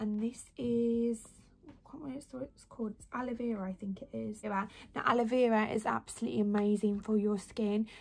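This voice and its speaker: Fairly even intonation runs through this somewhat breathy voice. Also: woman, moderate pace. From West Midlands, England (near Birmingham). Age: 20s. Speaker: lifestyle and beauty vlogger. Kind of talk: casual vlog tutorial. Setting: home bedroom. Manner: chatty, rambling. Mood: relaxed, chatty. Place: home room. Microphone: phone near.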